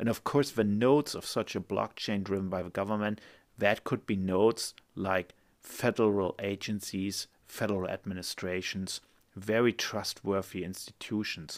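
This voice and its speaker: On a very clean recording with a silent background, a man speaks in a German accent. His fairly low pitch keeps a fairly even intonation at a moderate pace. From Germany. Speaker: lawyer and podcast host. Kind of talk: solo podcast monologue. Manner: casual, friendly.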